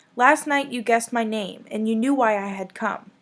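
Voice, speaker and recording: At a moderate pace, the speaker uses a put-on character voice. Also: woman, fairly high pitch for a woman. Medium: read story. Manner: soft, confident.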